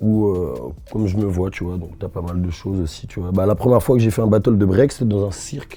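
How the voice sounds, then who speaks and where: A fairly quick pace, pitch varying in an ordinary way. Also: man. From Rennes, Brittany, France. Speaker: rapper. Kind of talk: interview answer. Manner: casual, warm.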